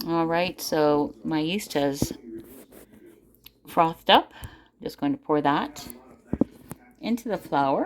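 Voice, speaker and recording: The speech moves at a very slow pace with long, frequent pauses. The pitch swings very widely. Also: woman, fairly low pitch for a woman. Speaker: home cook. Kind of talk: cooking tutorial. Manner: casual, hesitant.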